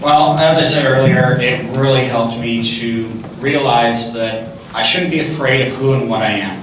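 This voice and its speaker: A man speaks with ordinary pitch variation. Light background noise and audible room echo can be heard. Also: medium pitch for a man, moderate pace. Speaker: public speaking club president. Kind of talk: panel discussion. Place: hall.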